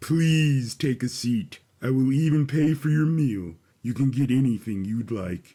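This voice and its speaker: A man puts on a character voice, speaking at a moderate pace with a medium pitch and ordinary pitch variation. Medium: read story. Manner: calm, formal, measured.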